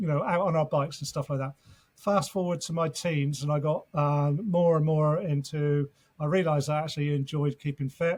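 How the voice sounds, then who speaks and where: A man with a fairly high, somewhat breathy voice speaks at a moderate pace with fairly even intonation. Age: 60s. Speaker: fitness coach and former navy serviceman. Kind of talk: podcast interview. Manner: hesitant with fillers.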